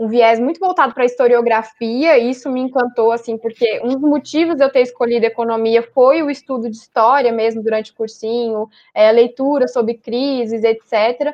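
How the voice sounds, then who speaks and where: A woman talks at a moderate pace with hardly any pauses. Her voice is high-pitched and her intonation fairly even. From São Paulo city, Brazil. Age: 20s. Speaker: economics student. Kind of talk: casual chat.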